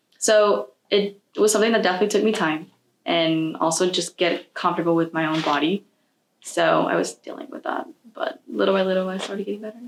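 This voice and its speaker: A woman's unremarkable speaking voice at a fairly quick pace, with ordinary pitch variation. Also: medium pitch for a woman. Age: young. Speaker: college student. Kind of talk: interview.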